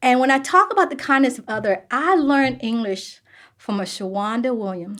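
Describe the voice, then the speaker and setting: Her pitch high and her intonation lively, a woman speaks at a fairly quick pace. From US South. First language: Vietnamese. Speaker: sourcing executive. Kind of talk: interview. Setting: podcast.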